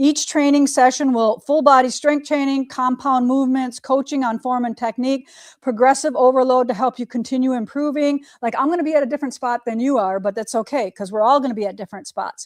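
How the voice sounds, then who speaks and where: A woman speaks at a fairly quick pace, with a high pitch and an animated tone. The recording is very clean and dry, close, with no echo and a silent background. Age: 50s. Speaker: quilting shop owner and livestream host. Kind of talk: casual livestream chat. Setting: studio.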